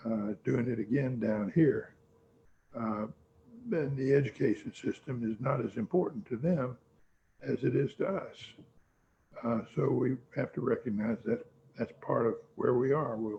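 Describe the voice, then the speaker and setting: A man speaks in a somewhat breathy voice at a fairly slow pace. He leaves long pauses, and often. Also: medium pitch for a man, ordinary pitch variation. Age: 80s+. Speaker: law firm founder. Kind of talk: interview. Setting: video call. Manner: halting.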